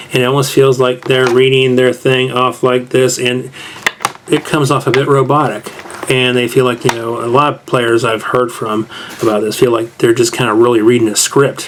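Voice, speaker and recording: With monotone, flat intonation and a medium pitch, a man keeps a moderate pace while noticeable background noise sounds in the recording. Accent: American. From US South. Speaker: tabletop game reviewer. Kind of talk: casual review monologue. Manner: casual, conversational.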